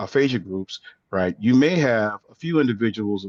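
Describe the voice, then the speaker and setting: A man speaks at a moderate pace with a Louisiana accent, at medium pitch with ordinary pitch variation. The sound is dry and close, with no echo. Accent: Southern US, Louisiana. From US South, Louisiana, near New Orleans. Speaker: aphasia researcher. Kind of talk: webinar presentation. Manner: frequent fillers, says right? often.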